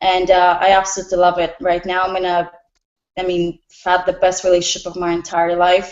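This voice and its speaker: At a fairly quick pace, a woman with a medium-pitched voice talks with a slight Russian accent. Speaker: restaurant bartender and nutritionist. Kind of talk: personal introduction in group call.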